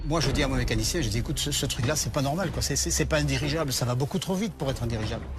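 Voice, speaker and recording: Over noticeable background noise and audible room echo, a man speaks at a very fast pace with hardly any pauses and very even loudness. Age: 60s. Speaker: former military helicopter pilot. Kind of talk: testimony. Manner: halting.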